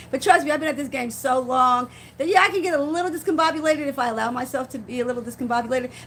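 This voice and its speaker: Very fast and high-pitched, a woman talks with ordinary pitch variation. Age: 50s. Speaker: faith-based vlogger. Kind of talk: casual live-stream talk. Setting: live stream, seated in rocking chair. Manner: halting, repeats words.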